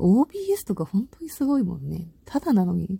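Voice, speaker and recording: A woman speaks in an animated tone. The sound is dry and close with no echo. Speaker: solo talk-audio host. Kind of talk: casual solo monologue. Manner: animated, laughing.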